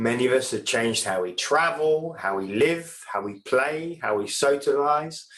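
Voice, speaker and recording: Using a normal speaking voice, a man talks at a fairly slow pace with lively intonation. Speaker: founder of a sustainability organization. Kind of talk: conference presentation. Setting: seminar with panel and audience.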